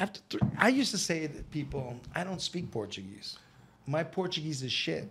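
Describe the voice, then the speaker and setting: A man's fairly high voice with vocal fry and very wide pitch swings, at a moderate pace. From Boston, Massachusetts. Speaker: English teacher. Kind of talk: casual chat. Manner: animated.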